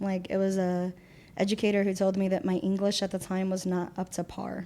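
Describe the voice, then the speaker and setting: In a Spanish accent, a woman at medium pitch speaks fairly quickly with a dark, mellow tone and monotone, flat intonation, on a very clean recording with a silent background. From Puerto Rico. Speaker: community volunteer. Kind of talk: interview conversation. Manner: casual with many fillers.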